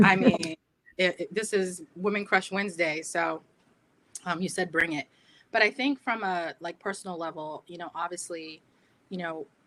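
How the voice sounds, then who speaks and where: With a Boston accent, a woman speaks in a fairly low pitch at a moderate pace, her loudness swinging widely, her pitch varying in an ordinary way, and her speech broken by long, frequent pauses. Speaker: diversity and inclusion leader. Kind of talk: panel discussion.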